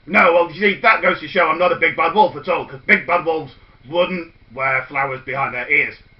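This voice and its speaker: Doing a put-on character voice, a man speaks high-pitched and gravelly at a fairly quick pace. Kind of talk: comic overacting. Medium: read story. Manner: gruff, feigning friendliness.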